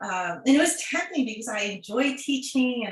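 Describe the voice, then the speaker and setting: Noticeable background noise and audible room echo surround a woman who talks at a moderate pace. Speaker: occupational therapist and online content creator. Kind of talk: prepared talk to students.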